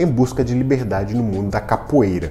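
There is light background noise. A man talks with ordinary pitch variation. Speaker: news presenter. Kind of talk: news commentary. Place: home room. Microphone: lapel.

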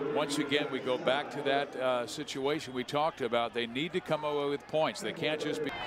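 Fairly quick, fairly evenly intoned speech with hardly any pauses over noticeable background noise. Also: man, fairly high pitch for a man. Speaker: play-by-play announcer. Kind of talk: live sports commentary.

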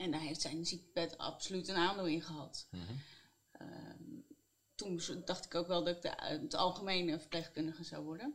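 A woman with vocal fry talks at a moderate pace and a fairly low pitch, with ordinary pitch variation. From Netherlands, Utrecht region; Netherlands. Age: 30s. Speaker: psychiatric nurse; interview guest. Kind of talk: interview. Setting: on a bench. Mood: reflective, warm. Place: office. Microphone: lapel.

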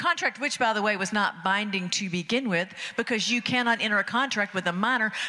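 A woman speaks with an American accent. Her pace is very fast. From Athens, Georgia, US. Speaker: stand-up comedian. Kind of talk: stand-up comedy bit. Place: stage. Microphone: handheld.

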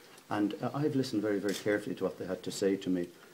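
A man's fairly low, dark, mellow voice with ordinary pitch variation, over noticeable background noise. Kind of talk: interview answer. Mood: firm, defensive. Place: hall.

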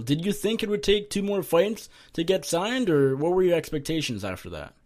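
A normal speaking voice moves at a fairly quick pace with lively intonation. The recording is very clean, with a silent background. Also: man. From Canada. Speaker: MMA journalist. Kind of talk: interview.

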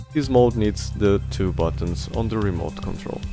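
Backed by music, the speaker keeps to a moderate speed. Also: man. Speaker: DIY electronics reviewer. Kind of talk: tutorial narration.

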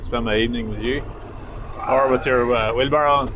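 There is noticeable background noise as a man talks at a moderate pace in a dry sound with no echo. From Northern Ireland. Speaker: farmer and video presenter. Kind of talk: casual chat. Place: farm machine. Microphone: camera far.

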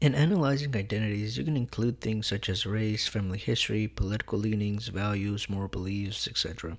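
This man has a normal speaking voice with a fairly low pitch, an American accent and ordinary pitch variation. He talks at a fairly quick pace with hardly any pauses. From US, partly Mexico City. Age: 20s. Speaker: student podcast co-host. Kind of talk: educational podcast discussion.

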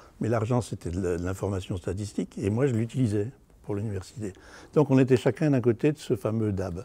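At a fairly quick pace, a man with a fairly low pitch speaks in a dark, mellow, somewhat breathy tone with ordinary pitch variation. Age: 70s. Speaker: university academic. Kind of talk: interview testimony.

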